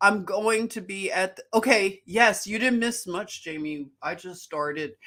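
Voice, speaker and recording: In a very clean recording with a silent background, a woman with a Philadelphia accent speaks at a fairly slow pace. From Philadelphia, US. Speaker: livestream host. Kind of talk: casual livestream chat. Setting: live stream. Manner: chatty, animated.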